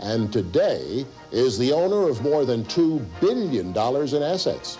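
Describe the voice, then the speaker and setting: Music plays behind a man's voice. His pitch swings very widely. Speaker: TV host. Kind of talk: infomercial host narration.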